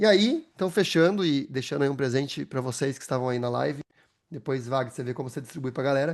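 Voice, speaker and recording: Here a man talks at a very fast pace with a fairly high pitch. The background is quiet. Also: ordinary pitch variation. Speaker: AI consultant and speaker. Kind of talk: webinar presentation.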